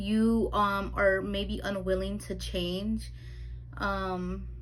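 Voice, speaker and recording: Very slowly, a woman speaks with audible room echo around her. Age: 20s. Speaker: tarot reader. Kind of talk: tarot reading monologue. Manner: halting, stumbling over words.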